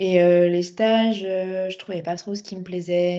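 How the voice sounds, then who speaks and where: With a dark, mellow tone and fairly low pitch, a woman speaks in a monotone, flat intonation. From France, Fontainebleau (Seine-et-Marne). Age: 20s. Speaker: civic service volunteer, recent graduate. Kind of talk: interview. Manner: hesitant, many fillers.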